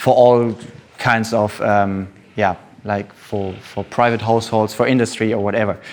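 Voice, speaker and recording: With a German accent, a man speaks at medium pitch. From Germany, Düsseldorf. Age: 20s. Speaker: energy economist. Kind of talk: talk to an audience. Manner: halting.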